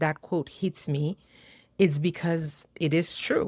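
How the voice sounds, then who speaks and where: A woman with a Haitian accent speaks in a dark, mellow tone, with a dry, close sound with no echo and a very clean recording against a silent background. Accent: Haitian Creole-accented English. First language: Haitian Creole. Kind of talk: casual talk to camera.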